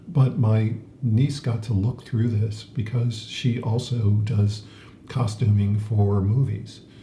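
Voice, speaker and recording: A man's somewhat breathy voice, dark and mellow in tone, with fairly even intonation and audible room echo. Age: 70s. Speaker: podcast co-host. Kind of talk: casual chat. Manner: halting, many fillers.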